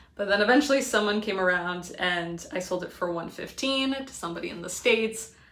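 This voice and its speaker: A woman with an American accent at a fairly quick pace, with ordinary pitch variation and audible room echo. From Connecticut, US. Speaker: part-time reseller, video creator. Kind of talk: casual vlog talk. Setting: indoors at home, by a window. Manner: fast.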